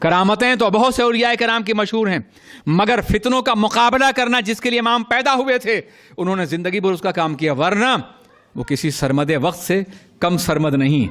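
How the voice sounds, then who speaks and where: His voice high-pitched, a man speaks in a passionate tone with lively intonation and very even loudness. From Manchester, UK (speaker based there). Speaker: Islamic scholar giving a religious sermon. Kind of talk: Urdu religious sermon (bayan) to a live audience. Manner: passionate, oratorical, with audience responses.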